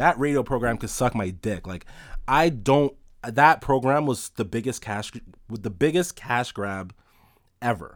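A man talks at a moderate pace and medium pitch, with lively intonation. The recording is very clean, the background silent. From Toronto, Canada (Rexdale). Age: 20s. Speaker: podcaster. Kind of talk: casual solo monologue. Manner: casual, rambling with frequent fillers and repetitions.

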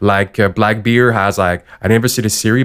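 Ordinary pitch variation, a fairly quick pace and a non-native accent. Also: man. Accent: foreign-accented English. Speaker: podcast co-host. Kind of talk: casual chat.

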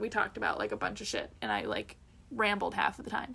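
A woman with a Canadian accent talks very fast, with vocal fry. Her tone is bright and sharp. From Canada. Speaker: podcast co-host. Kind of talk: casual chat.

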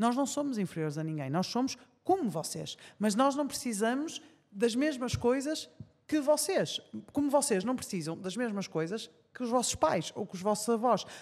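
A woman with a Porto accent speaks at a moderate pace, high in pitch with very wide pitch swings. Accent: northern Portuguese (Porto). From Portugal, Porto. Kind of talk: casual interview chat. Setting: studio with live audience.

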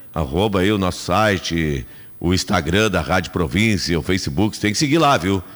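With vocal fry and a very deep, low pitch, a man speaks at a moderate pace using lively intonation. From Rio Grande do Sul, Brazil. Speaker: radio host. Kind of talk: live radio talk show. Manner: animated.

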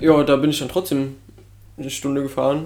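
Over noticeable background noise, a man with a fairly high pitch talks fairly quickly in a monotone, flat intonation. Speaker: podcast co-host. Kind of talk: casual banter podcast.

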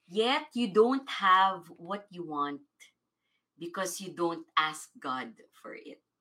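A woman talks very slowly in a bright, sharp tone at a medium pitch. Her pitch swings very widely and her loudness shifts a lot. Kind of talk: fervent prayer, congregational prayer led aloud. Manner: fervent, rhythmic, repeated 'we say yes' declarations building in intensity.

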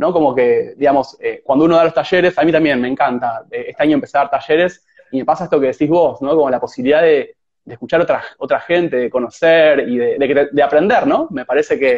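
Fairly high in pitch, a man talks at a very fast pace. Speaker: host of a live conversation series. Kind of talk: casual interview chat. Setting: Instagram live stream. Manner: halting, many repetitions and fillers.

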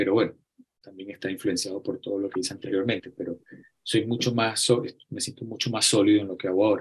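Speaking very fast with a Venezuelan accent, a man has a fairly low, somewhat breathy voice and fairly even intonation. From Venezuela (Acarigua, Barquisimeto). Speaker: photographer. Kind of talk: interview. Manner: halting, frequent repetitions.

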